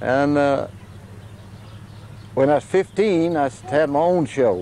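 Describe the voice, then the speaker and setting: This man has a fairly high pitch and a dark, mellow tone, speaking fairly slowly with lively intonation and very even loudness. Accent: Appalachian. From US South, Virginia mountains (Bedford area). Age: 70s. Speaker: chimpanzee sanctuary owner and former showman. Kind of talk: interview.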